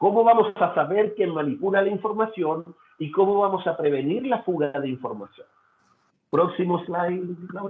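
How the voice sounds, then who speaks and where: The voice belongs to a man and sits high in pitch. Its pitch varies in an ordinary way. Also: moderate pace. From Chile. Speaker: data security consultant. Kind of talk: webinar presentation. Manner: halting, with fillers and repetitions.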